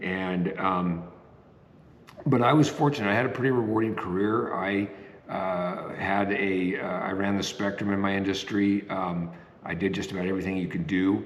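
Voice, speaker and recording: Amid noticeable background noise and audible room echo, a man with a fairly low pitch speaks at a moderate pace with ordinary pitch variation. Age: 60s. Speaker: retiree vlogger. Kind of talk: casual talk to camera. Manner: halting, many fillers.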